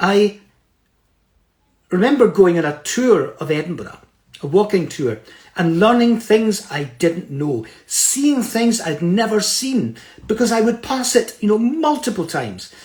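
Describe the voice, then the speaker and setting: With a Scottish accent and lively intonation, a man with high pitch speaks at a fairly slow pace, with long, frequent pauses. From Scotland, Fife (Kirkcaldy). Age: 70s. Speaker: motivational speaker. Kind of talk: motivational talk. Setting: Instagram live stream.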